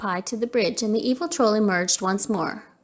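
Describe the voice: Ordinary pitch variation in plain reading aloud.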